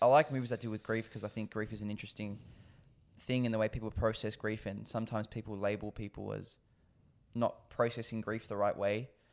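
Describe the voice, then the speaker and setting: Very fast and monotone, a man with an Australian accent speaks at a fairly low pitch in a very clean recording with a silent background. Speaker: podcast co-host. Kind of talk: casual chat.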